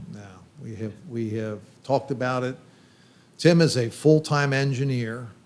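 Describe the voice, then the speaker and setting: In a Pennsylvania accent, a man speaks at a moderate pace and medium pitch with ordinary pitch variation. His loudness swings widely, and he leaves long, frequent pauses. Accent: Pennsylvania American English. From Pennsylvania, York. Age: 60s. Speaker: brewery owner. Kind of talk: casual chat. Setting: brew pub.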